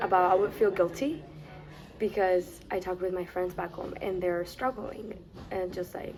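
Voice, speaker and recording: A woman at medium pitch with a Mexican accent and fairly even intonation, over noticeable background noise. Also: moderate pace. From Mexico, Tijuana. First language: Spanish. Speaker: college student. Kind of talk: interview. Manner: halting, with restarts.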